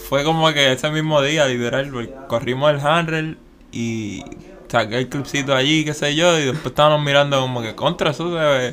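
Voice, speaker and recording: A man speaks with a fairly high pitch and fairly even intonation over noticeable background noise. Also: moderate pace. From Puerto Rico, San Juan (Santurce). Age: 20s. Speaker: skateboarder. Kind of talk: casual interview.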